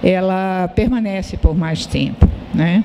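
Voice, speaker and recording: A woman talks at a medium pitch with fairly even intonation. There is noticeable background noise. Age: 70s. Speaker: publisher and sociologist. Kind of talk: panel discussion. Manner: halting.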